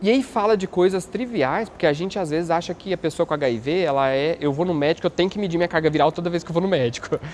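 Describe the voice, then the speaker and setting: Over light background noise, a man talks very fast at a fairly high pitch with lively intonation. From Brazil. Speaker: YouTuber and HIV activist; YouTuber. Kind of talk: documentary testimony. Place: hall. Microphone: lapel.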